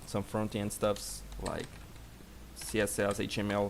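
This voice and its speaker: A man with a Brazilian Portuguese accent speaks at a fairly low pitch. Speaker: software developer. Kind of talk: live coding stream. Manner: halting.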